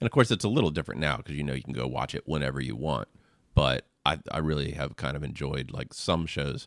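Very fast and very deep, a man's low voice carries vocal fry and ordinary pitch variation. The recording is very clean, with a silent background. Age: 40s. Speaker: pastor. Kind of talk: casual chat. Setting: studio.

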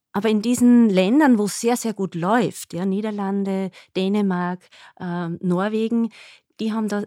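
Dark and mellow in tone, a woman's medium-pitched voice moves at a moderate pace. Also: very clean recording, silent background. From Upper Austria. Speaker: nurse and diabetes educator. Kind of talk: podcast interview.

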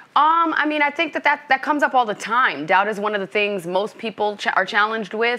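An unremarkable speaking voice, a woman's in an American accent, moves at a fairly quick pace with a fairly high pitch and lively intonation. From US Northeast, Brooklyn, New York. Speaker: business coach. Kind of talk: interview.

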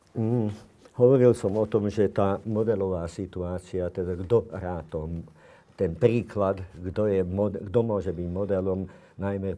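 Over a quiet background, a man talks at a fairly slow pace with a very deep, low pitch. His tone is dark and mellow, with ordinary pitch variation. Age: 70s. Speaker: psychiatrist. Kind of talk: interview.

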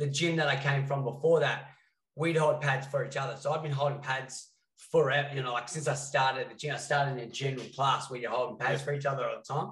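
This man talks very fast in a fairly high pitch with an Australian accent and flat, monotone intonation. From Western Australia. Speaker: fight coach and podcast co-host. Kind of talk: casual chat.

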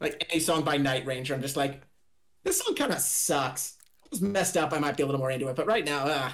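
This man's fairly high voice, with ordinary pitch variation, rushes out at a very fast pace. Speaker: podcast co-host, flower shop worker. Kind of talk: casual chat.

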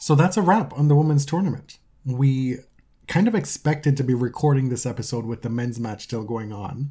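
A man talks with a mellow, dark tone at a medium pitch, his voice somewhat breathy. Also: ordinary pitch variation, fairly quick pace. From Jamaica. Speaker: tennis podcast co-host. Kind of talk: casual chat.

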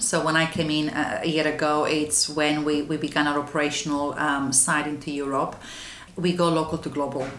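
A woman with a Romanian accent speaks at a moderate pace in a very deep, low pitch, with audible room echo. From Romania, west. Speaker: anti-trafficking charity manager. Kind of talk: interview. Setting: office. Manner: halting.

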